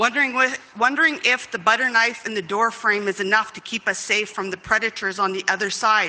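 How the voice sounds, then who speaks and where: Against noticeable background noise, a woman with a fairly high pitch talks at a fairly quick pace with fairly even intonation. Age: 50s. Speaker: community member, intergenerational residential school survivor. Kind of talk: testimony.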